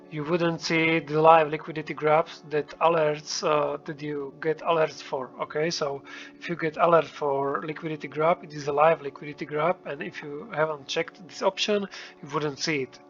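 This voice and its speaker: Over noticeable background noise, a man with a non-native accent speaks at a moderate pace in a fairly high pitch, his intonation monotone and flat and his loudness swinging widely. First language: not English. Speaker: trading indicator developer. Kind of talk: tutorial. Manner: hesitant, many fillers.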